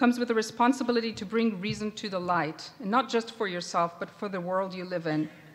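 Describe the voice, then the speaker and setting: A woman speaks very fast in an Israeli accent. Her fairly high voice has ordinary pitch variation. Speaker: professor. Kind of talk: commencement address. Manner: formal.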